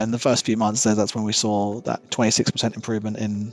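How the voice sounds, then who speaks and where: Over music in the background, a man talks very fast in a fairly low voice. His intonation is monotone and flat, and the sound is dry and close with no echo. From Australia. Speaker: service manager. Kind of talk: interview answer.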